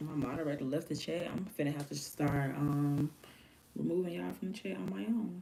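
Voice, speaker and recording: A woman's very deep, low voice with vocal fry and a dark, mellow tone, fairly quick pace and very wide pitch swings. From US South (Alabama). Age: 30s. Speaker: live streamer and music artist. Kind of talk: casual live stream chat. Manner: animated.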